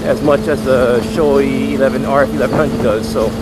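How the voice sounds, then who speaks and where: The sound is dry with no echo, but loud background noise is present. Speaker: motovlogger. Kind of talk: casual vlog chat. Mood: upbeat, enthusiastic. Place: motorbike. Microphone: helmet.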